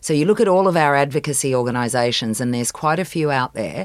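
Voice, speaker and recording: Here a woman with an Australian accent speaks at a fairly quick pace with lively intonation. The recording is very clean, with a silent background. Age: 50s. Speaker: accelerator director. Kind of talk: panel discussion.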